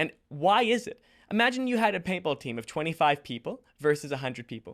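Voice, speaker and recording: A man talks with very wide pitch swings. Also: very clean recording, silent background. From Australia. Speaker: podcast host. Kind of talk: interview conversation.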